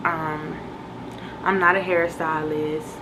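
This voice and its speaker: A woman talks at a moderate pace over music in the background, with audible room echo. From Virginia, US East Coast (born in Boston). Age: 20s. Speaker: YouTuber, lifestyle vlogger. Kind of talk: casual get-to-know-me vlog. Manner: animated, energetic.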